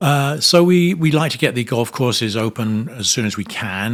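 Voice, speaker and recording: A man with a British accent and lively intonation, on a very clean recording with a silent background. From England, North London. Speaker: hospitality executive. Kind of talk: interview. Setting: trade conference. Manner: hesitant, many fillers.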